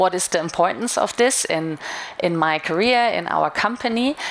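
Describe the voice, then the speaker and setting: Noticeable background noise sits behind a woman with a fairly low pitch. She talks at a moderate pace with ordinary pitch variation. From Germany. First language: German. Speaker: retail media marketing manager. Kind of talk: conference talk. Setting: stage with audience.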